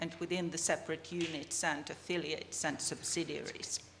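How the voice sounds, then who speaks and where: A Finnish accent at a moderate pace, with audible room echo and noticeable background noise. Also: woman. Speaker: business communication researcher. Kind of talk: conference presentation.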